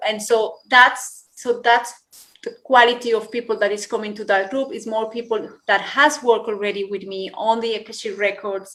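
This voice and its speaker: A woman talks at a moderate pace with a fairly high pitch and a bright, sharp tone. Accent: Spanish. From Colombia. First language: Spanish. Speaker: yoga teacher. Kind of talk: interview. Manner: animated.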